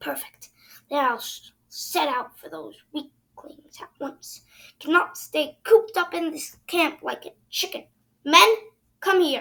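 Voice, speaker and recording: A woman uses a put-on character voice with a high pitch and lively intonation. Her loudness swings widely. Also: fairly slow pace. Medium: read story. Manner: bossy, self-admiring.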